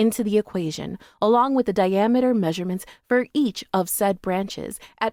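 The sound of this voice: Pitch varies in an ordinary way across an unforced reading voice.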